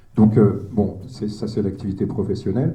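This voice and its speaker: In a room with audible echo, a man with a dark, mellow, somewhat breathy tone and fairly low pitch speaks at a fairly quick pace. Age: 60s. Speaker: retired social worker and local councillor. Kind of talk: speech at a political meeting. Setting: hall with audience. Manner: halting, many hesitations.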